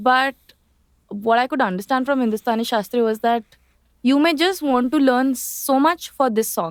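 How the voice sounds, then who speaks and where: In a dry, close sound with no echo, a speaker with a strong Indian accent uses ordinary pitch variation. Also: woman. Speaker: lawyer and singer. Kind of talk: podcast interview.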